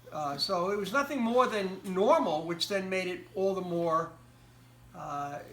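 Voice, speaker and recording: A man with an American accent at a high pitch, with lively intonation, a very slow pace, long, frequent pauses and audible room echo. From United States. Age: 60s. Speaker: interviewee. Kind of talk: interview. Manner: halting.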